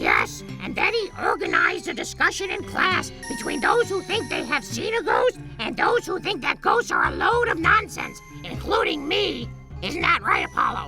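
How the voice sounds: Over clear background music, a man does a cartoonish character voice at a moderate pace.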